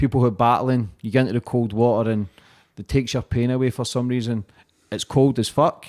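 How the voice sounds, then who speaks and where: Here a man talks at a fairly quick pace and a medium pitch. The sound is dry and close, with no echo. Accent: Scottish. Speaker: podcast host. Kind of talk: casual interview chat. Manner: enthusiastic.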